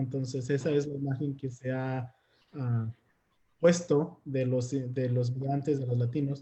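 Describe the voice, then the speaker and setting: Somewhat breathy, this man's voice pairs a dark, mellow tone with a fairly high pitch. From Mexico. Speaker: immigrant rights activist. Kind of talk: panel discussion.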